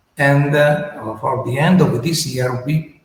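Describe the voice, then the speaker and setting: Audible room echo surrounds a man speaking at a fairly slow pace. His voice is fairly high, with fairly even intonation. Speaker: company representative presenting a startup. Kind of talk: business presentation. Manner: halting.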